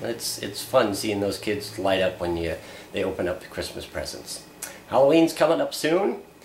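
A man with an American accent speaks at a moderate pace in a fairly low pitch, with lively intonation. Audible room echo and light background noise are present. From US Upper Midwest (Fargo area). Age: 40s. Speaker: vlogger, part-time radio/TV media worker. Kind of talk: casual video blog monologue. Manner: casual, halting with fillers. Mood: relaxed, self-deprecating humor. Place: home room. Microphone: camera far.

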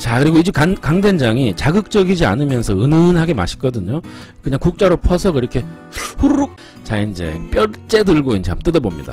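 Faint music plays behind a man who speaks at a moderate pace in a dry recording with no echo. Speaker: food vlogger. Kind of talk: casual mukbang commentary. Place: cafe. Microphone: phone near.

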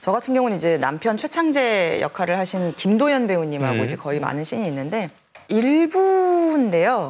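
A woman's voice with very wide pitch swings at a moderate pace. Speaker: actress guest. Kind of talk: talk show anecdote. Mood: amused, lively storytelling. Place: studio.

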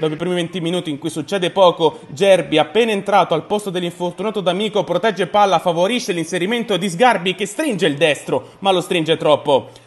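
An animated man at a high pitch with ordinary pitch variation, fairly quick and with hardly any pauses, over noticeable background noise. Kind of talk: sports commentary. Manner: fast, clipped play-by-play narration; animated, rising excitement at the late winning goal.

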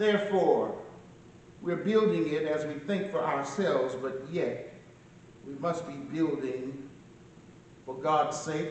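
Speaking at a fairly slow pace with long, frequent pauses, a man shows ordinary pitch variation amid audible room echo and light background noise. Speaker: pastor giving eulogy. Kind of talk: sermon. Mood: solemn, earnest. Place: church. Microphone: camera far.

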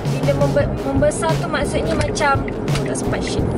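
Music plays behind a woman as she talks. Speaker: vlogger. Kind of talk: casual vlog chat. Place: car. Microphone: phone near.

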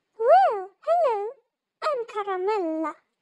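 A squeaky put-on character voice, extremely high in pitch, goes at a fairly slow pace. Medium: audio drama. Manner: warm, welcoming.

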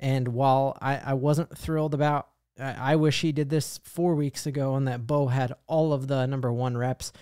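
A man with an American accent talks at a moderate pace with hardly any pauses, his tone dark and mellow. The sound is dry with no echo, over a quiet background. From Colorado. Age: 30s. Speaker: sports YouTuber, fan channel host; sports fan commentator. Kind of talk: sports commentary monologue to camera. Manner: animated, excited; frequent fillers (um, uh). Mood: happy, celebratory. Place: home room. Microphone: studio mic.

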